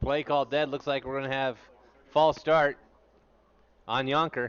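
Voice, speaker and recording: Speaking with a Western US accent, a man uses a fairly high pitch and a monotone, flat intonation. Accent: lazy Western. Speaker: sports commentator and math teacher. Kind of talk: live commentary. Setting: press booth at game. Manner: fast.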